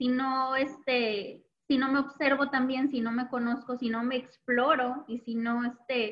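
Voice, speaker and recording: Her pitch is high for a woman, and her intonation is monotone and flat. She speaks at a fairly slow pace. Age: 30s. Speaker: psychologist and sexologist. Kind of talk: casual interview.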